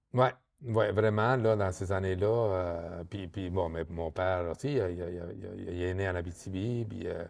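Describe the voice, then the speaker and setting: A man speaks fairly slowly in a very deep, low pitch with ordinary pitch variation. The recording is very clean, with a silent background. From Argentina. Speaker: microdistillery co-owner. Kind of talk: interview. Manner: halting, many repetitions and fillers.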